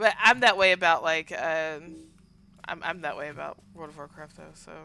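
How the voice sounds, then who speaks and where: A woman talks at a fairly quick pace with a Southern US accent. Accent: Southern twang. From US South. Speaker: game streamer. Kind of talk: casual chat.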